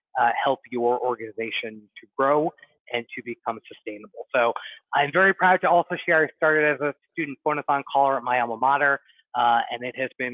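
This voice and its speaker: A man speaks in an unremarkable speaking voice pitched in the medium range. His pace is fairly quick and his intonation fairly even. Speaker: nonprofit fundraising consultant. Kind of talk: webinar presentation. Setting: online webinar.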